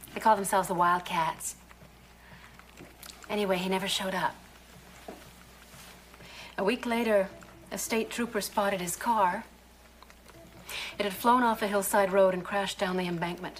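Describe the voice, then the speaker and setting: Leaving long, frequent pauses, a woman speaks at a moderate pace with fairly even intonation over light background noise. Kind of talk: scripted drama dialogue. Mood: subdued, troubled. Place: office.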